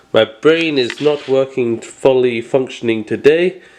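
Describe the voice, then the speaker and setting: A man's medium-pitched voice at a very slow pace with ordinary pitch variation, with noticeable background noise. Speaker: product reviewer. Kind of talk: product review. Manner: halting.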